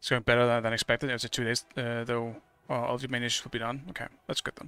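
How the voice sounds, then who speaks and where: Mumbling at a very fast pace, a man speaks in a bright, sharp tone at medium pitch, monotone and flat, with a dry, close sound and no echo. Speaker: video game streamer. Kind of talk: casual live-stream chat while gaming. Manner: halting, many fillers and restarts.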